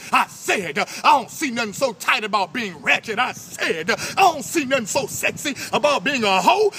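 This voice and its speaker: With noticeable background noise behind him, a man uses a raised, projected voice at an extremely high pitch. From New Orleans. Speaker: spoken word poet. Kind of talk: spoken word poetry performance. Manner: forceful, rhythmic.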